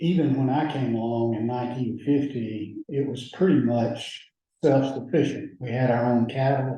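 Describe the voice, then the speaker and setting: Speaking at a moderate pace with a medium pitch, a man with an Alabama accent keeps his intonation fairly even. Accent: Southern US (Alabama). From US South, rural Alabama (Lowndes County). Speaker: judge. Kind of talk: oral history interview.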